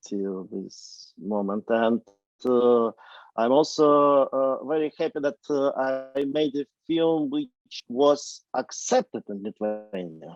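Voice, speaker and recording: A man with a medium pitch and ordinary pitch variation speaks at a very slow pace with long, frequent pauses, in a dry, close sound with no echo. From Ukraine. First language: Ukrainian or Russian. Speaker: film director. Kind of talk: Q&A discussion. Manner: halting, many fillers.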